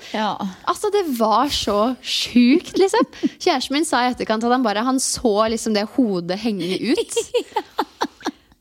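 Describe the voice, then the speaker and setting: A woman's high voice moves through very wide pitch swings at a fairly slow pace. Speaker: podcast co-host. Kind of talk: casual chat. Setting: at a kitchen table.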